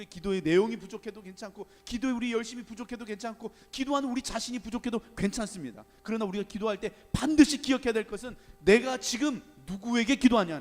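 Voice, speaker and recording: Very fast and high-pitched, a man talks with big swings in loudness over noticeable background noise. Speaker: guest pastor. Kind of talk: sermon.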